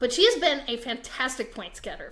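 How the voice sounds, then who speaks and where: A woman talks fairly quickly with an American accent. Audible room echo surrounds her voice. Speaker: podcast host. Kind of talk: casual chat.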